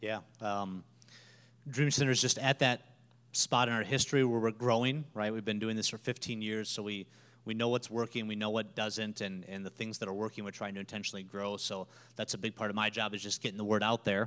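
With an American accent and a plain, everyday voice, a man talks at a fairly quick pace and fairly low pitch, his intonation fairly even, on a very clean recording with a silent background. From Minnesota. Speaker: nonprofit staff member. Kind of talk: church interview testimony.

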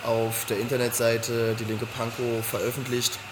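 Against noticeable background noise and audible room echo, a man speaks at a moderate pace and a medium pitch. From Berlin (Weißensee). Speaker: local political candidate. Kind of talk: interview.

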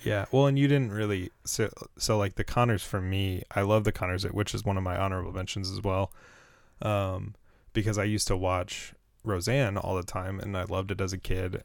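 The recording is very clean, with a silent background. A man speaks in a normal speaking voice at a fairly quick pace, with fairly low pitch and fairly even intonation. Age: 20s. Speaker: podcast co-host. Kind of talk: casual chat. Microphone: very close to the mic.

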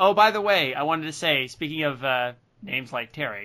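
Ordinary pitch variation comes through in a normal speaking voice. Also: man. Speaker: podcast host. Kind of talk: casual comedic chat, reading recaps. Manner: joking, laughs often.

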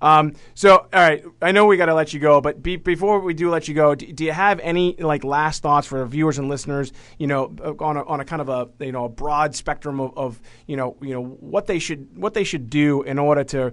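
A man with a plain, everyday voice and an American accent speaks at a moderate pace, fairly high in pitch, with ordinary pitch variation. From Boston. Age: 40s. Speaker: podcast host. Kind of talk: interview. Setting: studio.

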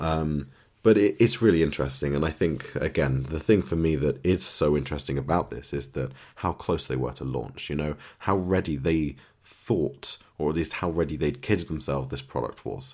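A man's very deep, low voice with vocal fry, moderate pace and ordinary pitch variation. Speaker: podcast co-host. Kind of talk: casual chat about tech and TV.

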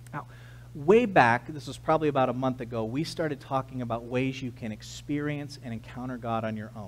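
A man with an American accent at a fairly quick pace, big swings in loudness and audible room echo. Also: medium pitch for a man. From US West Coast, San Diego, California. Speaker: pastor. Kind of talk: sermon.

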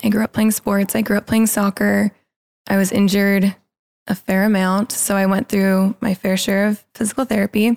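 A woman with a Californian accent speaks in a monotone, flat way at a moderate pace and a medium pitch. The sound is dry and close with no echo, and her loudness stays very even. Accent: Californian American English. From Los Angeles, California. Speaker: freelance photographer. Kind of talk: casual interview chat.

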